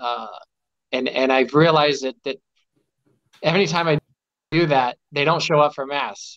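Over a quiet background, a man with a Midwestern American accent talks at a fairly high pitch and a moderate pace. His intonation is fairly even, broken by long, frequent pauses. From US Midwest, Omaha Nebraska; Nebraska. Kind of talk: casual chat. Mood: warm, reflective. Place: home room. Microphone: video call.

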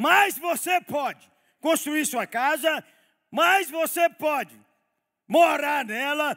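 Over a quiet background, a man uses a raised, projected voice at an extremely high pitch. His tone is animated, bright and sharp. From Brazil. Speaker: pastor. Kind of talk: sermon. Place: church. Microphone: headset.

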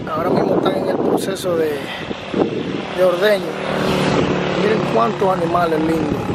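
Loud background noise runs behind a dry sound with no echo. The pace is moderate, broken by long, frequent pauses. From Dominican Republic, rural countryside. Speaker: family vlogger. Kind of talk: casual vlog narration. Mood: enthusiastic, admiring. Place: farm. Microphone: phone near.

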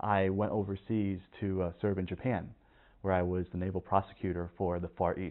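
Over a quiet background, a man talks at a fairly low pitch and moderate pace in a monotone, flat intonation. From Vietnam. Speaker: attorney and navy officer. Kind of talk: oral history interview answer. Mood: calm, reflective. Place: home room.

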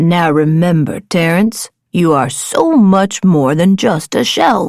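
Putting on a character voice, a woman speaks slowly at fairly low pitch, with vocal fry, a slightly mellow tone and lively intonation.

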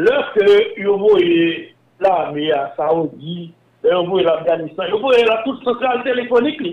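At a very slow pace, a man with a high voice speaks with lively intonation and long, frequent pauses. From Haiti. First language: Haitian Creole (speaking French). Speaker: former telecom and bank executive. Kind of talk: interview.

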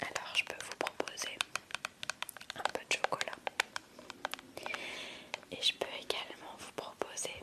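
A woman whispers at a fairly slow pace. Her speech has long, frequent pauses. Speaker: ASMR creator. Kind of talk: casual talk to camera about making slime. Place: home room. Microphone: studio mic.

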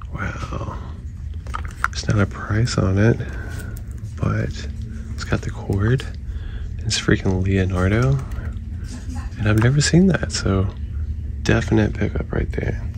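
A man with a very deep, low pitch talks at a fairly slow pace, leaving long, frequent pauses. The sound is dry with no echo, and background noise is noticeable. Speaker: toy collector vlogger. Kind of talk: casual vlog chat. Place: shop.

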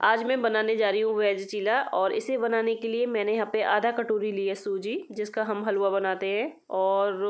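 A woman talks at a fairly slow pace. Her intonation is flat and monotone. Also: fairly high pitch for a woman, very even loudness. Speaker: lifestyle vlogger. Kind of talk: vlog cooking tutorial. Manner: chatty, casual.

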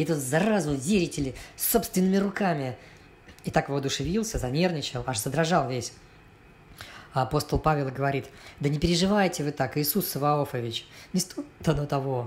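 A man speaks at a moderate pace, leaving long, frequent pauses. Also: fairly high pitch for a man, ordinary pitch variation. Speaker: cartoonist and artist. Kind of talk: read satirical cartoon story. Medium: cartoon.

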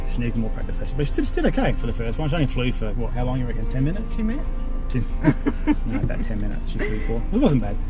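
A man speaks at a very fast pace. Clear music plays in the background. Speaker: vlogger. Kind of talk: casual vlog chat. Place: car. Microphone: phone near.

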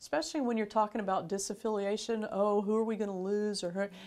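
A woman speaks at a fairly high pitch with an American accent. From Florida. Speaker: bishop. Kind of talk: interview. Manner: casual. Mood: warm, friendly. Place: studio. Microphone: lapel.

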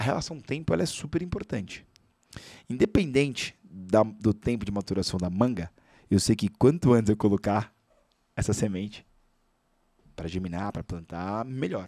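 A man's dark, mellow voice at a moderate pace with very wide pitch swings, dry with no echo, over a quiet background. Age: 30s. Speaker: financial educator and speaker; guest. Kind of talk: casual chat. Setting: studio. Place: studio. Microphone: studio mic.

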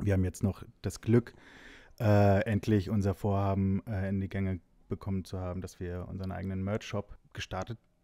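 A man speaks at a moderate pace in a very deep, low pitch with a dark, mellow tone and monotone, flat intonation. The sound is dry and close, with no echo. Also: very clean recording, silent background. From Hesse, Giessen. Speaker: music booking agent. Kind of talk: casual chat.

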